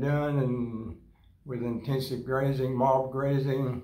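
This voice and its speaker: Speaking at a very slow pace in a Florida accent, a man with a medium pitch is heard over noticeable background noise and audible room echo. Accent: US Southern (Florida). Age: 80s+. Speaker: rancher. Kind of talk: casual interview. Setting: grazing school event.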